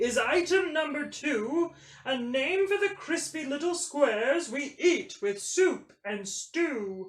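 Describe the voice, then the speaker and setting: A high-pitched put-on character voice at a fairly slow pace with hardly any pauses. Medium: read story. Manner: formal.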